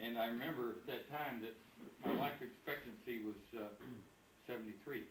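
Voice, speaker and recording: A man at medium pitch, fairly quick with fairly even intonation and long, frequent pauses, amid noticeable background noise and audible room echo. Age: 70s. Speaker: retired company officer, birthday honoree. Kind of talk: speech at family birthday party.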